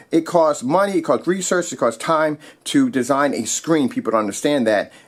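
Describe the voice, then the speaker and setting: In an animated tone, a man speaks at a fairly high pitch with very wide pitch swings. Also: very clean recording, silent background. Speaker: projector screen maker and seller. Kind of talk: product demonstration. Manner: fast.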